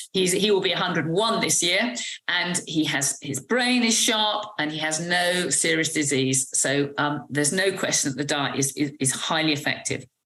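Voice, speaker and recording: Speaking with a British accent, a woman with a very deep, low pitch keeps a moderate pace with hardly any pauses and lively intonation. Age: 60s. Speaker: medical doctor. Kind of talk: interview. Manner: hesitant with fillers.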